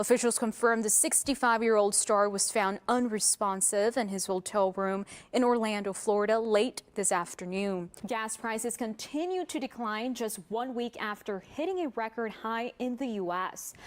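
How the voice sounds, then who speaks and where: A woman talks in a normal speaking voice at a fairly high pitch and a moderate pace. Her pitch varies in an ordinary way, and she leaves hardly any pauses. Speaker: news anchor. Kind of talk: TV news anchor read. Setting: studio.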